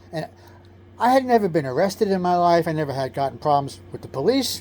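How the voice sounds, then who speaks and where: Someone with a New York accent talks at a very fast pace. The pitch swings very widely. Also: man, high pitch for a man. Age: 60s. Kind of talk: personal testimony. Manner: casual, self-correcting.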